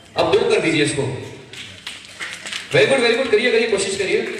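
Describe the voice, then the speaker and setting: Over noticeable background noise, a man talks in an energetic tone at an extremely high pitch, his voice making very wide pitch swings. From Rajasthan, India. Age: 20s. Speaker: event anchor and motivational speaker. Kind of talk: live stage motivational talk with audience interaction. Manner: energetic, humorous.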